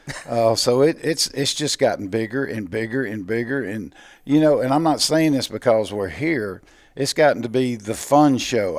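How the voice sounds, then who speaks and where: A man with a Mississippi accent speaks at a moderate pace with ordinary pitch variation. The recording is very clean, with a silent background. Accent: Mississippi Southern US. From US South, Mississippi (Natchez). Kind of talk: casual interview. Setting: convention show floor.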